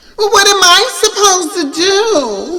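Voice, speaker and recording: A put-on character voice sounds female, squeaky and extremely high in pitch for a woman. It moves at a fairly slow pace. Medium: read story. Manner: demanding, entitled.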